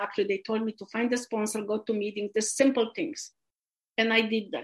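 A woman with a Polish accent talks at a fairly quick pace and a fairly high pitch. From Poland. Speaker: recovering alcoholic sharing story. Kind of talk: testimony. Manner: halting.

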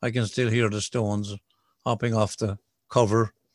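A man speaks in an Irish accent at a moderate pace and medium pitch, his intonation monotone and flat. The sound is dry and close with no echo, a very clean recording with a silent background. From southwest Ireland (County Kerry). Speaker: recovering alcoholic speaker. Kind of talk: testimony.

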